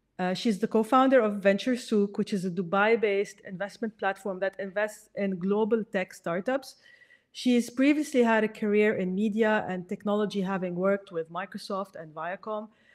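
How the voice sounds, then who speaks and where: At a moderate pace and with ordinary pitch variation, a woman speaks over a quiet background. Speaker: podcast host. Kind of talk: podcast intro and sponsor read. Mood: warm, cheerful. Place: home room. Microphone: studio mic.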